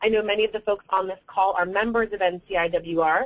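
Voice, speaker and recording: Here is a woman with a normal speaking voice. She talks at a moderate pace with ordinary pitch variation. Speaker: public affairs director at advocacy group. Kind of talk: webinar presentation. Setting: webinar call.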